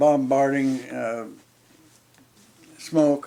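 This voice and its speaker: Fairly high-pitched man with fairly even intonation. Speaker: World War II Navy veteran. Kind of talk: interview answer. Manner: hesitant, halting.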